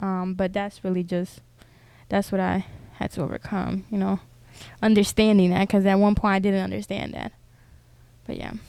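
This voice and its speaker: With a Spanish accent, a woman speaks at a medium pitch in a dark, mellow tone and monotone, flat intonation, leaving long, frequent pauses, on a very clean recording with a silent background. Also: moderate pace. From Honduras and US, Honduran immigrant family. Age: 20s. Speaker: YouTuber. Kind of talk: casual interview. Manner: hesitant, many fillers.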